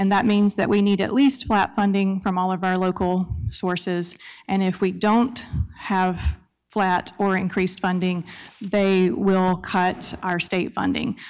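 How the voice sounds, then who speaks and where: A woman speaks slowly in a Southern US accent at a medium pitch. Her intonation is fairly even and her loudness very even. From US South, Mississippi Gulf Coast. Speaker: library system director. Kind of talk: public comment at council meeting. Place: hall. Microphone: podium.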